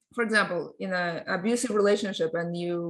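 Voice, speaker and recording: Against a quiet background, a woman with a Russian accent talks at a fairly quick pace and medium pitch, with ordinary pitch variation. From Russia (born in Ukraine). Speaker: tech company CEO and lawyer. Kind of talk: podcast interview. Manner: halting with many fillers.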